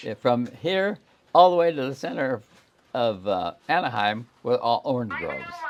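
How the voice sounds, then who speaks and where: Against noticeable background noise, a man with a medium pitch moves through very wide pitch swings. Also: moderate pace. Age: 80s+. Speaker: bird farm founder. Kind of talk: interview answer.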